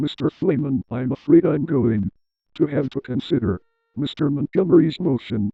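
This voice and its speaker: A man's put-on character voice at a fairly high pitch and a moderate pace. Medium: fan dub. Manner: stern, authoritative.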